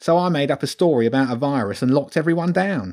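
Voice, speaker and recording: A man uses a whiny, shrill put-on character voice at a fairly high pitch and a very fast pace. The recording is very clean, with a silent background. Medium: read story. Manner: whiny, self-pitying.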